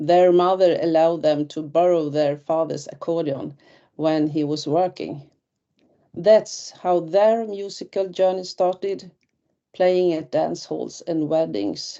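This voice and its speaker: A woman's fairly low voice, fairly slow in pace, with ordinary pitch variation. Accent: Swedish. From northern Sweden (Västerbotten). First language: Swedish. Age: 60s. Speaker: retired teacher and folk musician. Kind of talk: webinar presentation. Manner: halting.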